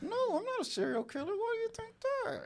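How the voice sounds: This put-on character voice sits at an extremely high pitch and moves at a fairly quick pace.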